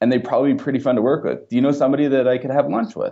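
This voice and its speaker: A man talks in a plain, everyday voice at a medium pitch. His intonation is lively. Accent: Canadian. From Canada. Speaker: entrepreneur and software developer. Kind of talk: podcast interview.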